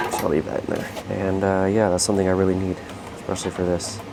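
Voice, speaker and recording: A man speaks with a fairly low pitch. Audible room echo and noticeable background noise are present. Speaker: HVAC technician. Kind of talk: work tutorial vlog. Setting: indoors in a quiet office building.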